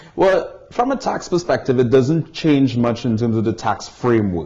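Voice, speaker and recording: A man speaks at a medium pitch with lively intonation. His pace is moderate, and there is noticeable background noise. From Caribbean. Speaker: tax barrister and visiting lecturer. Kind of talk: interview. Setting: barristers' chambers in London.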